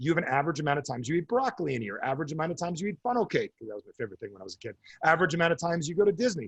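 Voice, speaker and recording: With an American accent, the speaker shows vocal fry and very wide pitch swings. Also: man, dry, close sound with no echo. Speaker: author and coach. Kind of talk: interview. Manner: animated.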